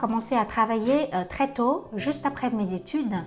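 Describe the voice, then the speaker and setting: Speaking with a Vietnamese accent at a moderate pace, a woman has a fairly high pitch and ordinary pitch variation, with noticeable background noise behind her. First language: Vietnamese (speaking French). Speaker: translator-interpreter. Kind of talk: self-presentation video. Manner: hesitant with frequent fillers.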